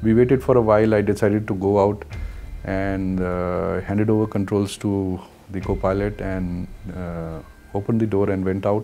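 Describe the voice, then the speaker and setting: Here a man with an Indian accent speaks in a fairly low pitch. He keeps a moderate pace and fairly even intonation. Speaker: commercial helicopter pilot. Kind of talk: interview answer. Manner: hesitant, frequent fillers.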